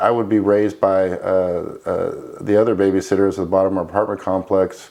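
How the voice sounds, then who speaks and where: Talking at a fairly quick pace, a man speaks with a Florida accent. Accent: American, Florida. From Florida, US (early childhood in Spain). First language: Spanish. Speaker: military veteran, former special forces trainer. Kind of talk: interview testimony.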